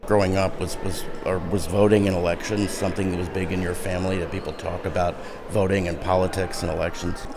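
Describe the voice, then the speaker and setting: A man's very deep, low voice at a very fast pace, monotone and flat in intonation, over noticeable background noise. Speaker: podcast host. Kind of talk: interview question.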